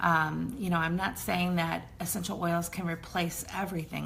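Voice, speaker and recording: In a room with audible echo, a woman with a fairly low pitch speaks at a fairly slow pace. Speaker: essential oils educator. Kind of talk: online class. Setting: Facebook live stream. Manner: hesitant, many fillers.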